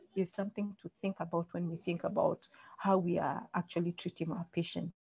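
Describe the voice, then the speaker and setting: The voice is somewhat breathy, with a dark, mellow tone and monotone, flat intonation, heard in a dry, close sound with no echo. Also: woman. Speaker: doctor giving a medical webinar talk. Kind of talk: lecture. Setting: online webinar. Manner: fast.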